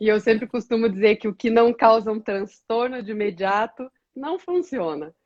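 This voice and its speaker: A woman's fairly high-pitched, plain, everyday voice with lively intonation at a moderate pace, dry, close sound with no echo, and a quiet background. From interior of Paraná, Brazil (Toledo). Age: 40s. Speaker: women's ministry leader. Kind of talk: testimony.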